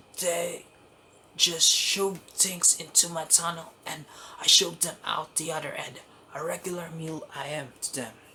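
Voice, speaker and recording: A man puts on a gravelly, high-pitched character voice and speaks at a moderate pace. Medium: read story. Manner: bitter, sardonic.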